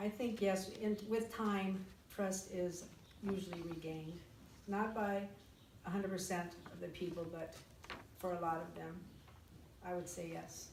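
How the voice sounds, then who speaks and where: A woman with an American accent at a fairly slow pace, fairly even intonation, and long, frequent pauses, amid audible room echo and noticeable background noise. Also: medium pitch for a woman. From United States. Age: 60s. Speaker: interviewee recalling history. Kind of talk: interview.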